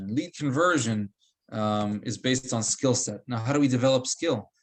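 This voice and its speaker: A man with a medium-pitched, plain, everyday voice speaks at a moderate pace with ordinary pitch variation. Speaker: real estate trainer. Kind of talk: coaching session.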